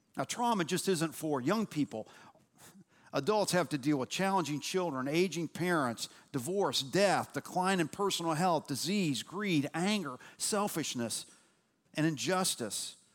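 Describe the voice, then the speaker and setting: Speaking at a fairly slow pace with a high pitch and lively intonation, a man keeps a very even loudness in a very clean recording with a silent background. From Louisville, Kentucky. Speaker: lay pastor and church teacher. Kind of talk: sermon. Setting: church.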